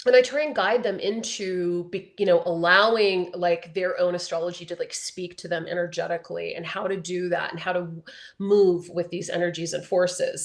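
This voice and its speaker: A woman speaks at a moderate pace and medium pitch with ordinary pitch variation. She has a plain, everyday voice. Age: 50s. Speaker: astrologer. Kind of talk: interview.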